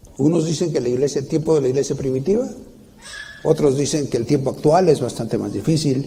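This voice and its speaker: Talking at a fairly quick pace, a man with a fairly high, somewhat breathy voice shows ordinary pitch variation amid audible room echo. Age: 60s. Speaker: preacher. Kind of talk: sermon. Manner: halting, with many restarts.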